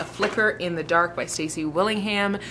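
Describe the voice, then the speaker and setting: Noticeable background noise sits behind a woman's speech. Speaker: book vlogger. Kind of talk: casual vlog narration. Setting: cabin in the mountains. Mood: enthusiastic, relaxed. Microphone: camera far.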